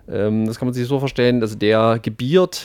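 A medium-pitched man's voice with ordinary pitch variation, in a very clean recording with a silent background. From not from the local region. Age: young. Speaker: satirical expert guest on hollow earth. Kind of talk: satirical mock lecture. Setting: radio studio. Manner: halting, many filler sounds.

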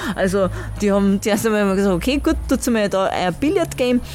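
A woman talks at a fairly quick pace in an Austrian accent. Music plays in the background. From Styria, Austria. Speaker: workshop leader, musician. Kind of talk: interview. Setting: outdoor festival.

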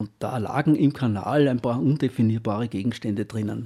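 A man's dark, mellow voice sits at medium pitch with fairly even intonation, captured on a very clean recording with a silent background. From Austria, Styria (Knittelfeld), then Upper Austria. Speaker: retired teacher. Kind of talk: life story interview. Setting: studio.

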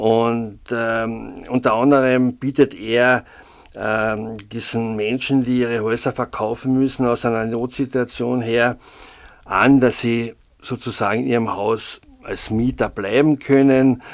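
A man's very slow, monotone delivery with flat intonation. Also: medium pitch for a man. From Austria, Carinthia (St. Veit area). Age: 60s. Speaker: freelance local journalist. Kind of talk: casual interview. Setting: studio. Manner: hesitant, many filler sounds.

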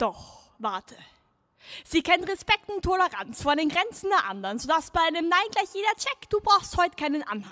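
A woman projects a raised voice at an extremely high pitch, bright and sharp in tone, with very wide pitch swings. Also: moderate pace, dry, close sound with no echo. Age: young. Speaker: slam poet. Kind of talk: poetry performance. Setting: outdoor stage with audience.

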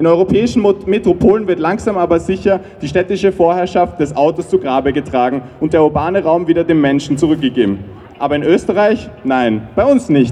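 Speaking at a moderate pace, a man has a high pitch and lively intonation. Noticeable background noise sits under his voice. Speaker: climate activist. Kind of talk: rally speech.

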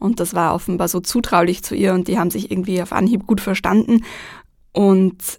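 This is a very clean recording with a silent background, featuring a woman with an unremarkable speaking voice at medium pitch. She speaks at a moderate pace with fairly even intonation. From Vienna, Austria. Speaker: journalist and TV presenter. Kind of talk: radio interview.

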